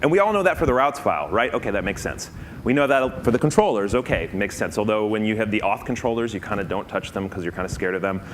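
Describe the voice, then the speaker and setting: A man talks at a very fast pace with hardly any pauses. Audible room echo surrounds his voice. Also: fairly low pitch for a man. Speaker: conference speaker. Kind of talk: conference talk.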